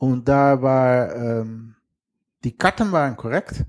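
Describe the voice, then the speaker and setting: This man speaks with a Dutch accent. His pitch sits in the medium range with ordinary variation. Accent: thick Dutch. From western Netherlands. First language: Dutch (speaking German). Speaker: geocacher and sailor. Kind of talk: casual interview.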